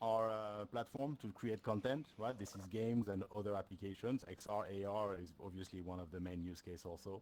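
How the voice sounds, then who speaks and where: A man's fairly low voice in a French accent, at a fairly quick pace with ordinary pitch variation. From France. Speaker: solution engineer. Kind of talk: tech presentation. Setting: stage with audience. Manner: frequent fillers, hesitant.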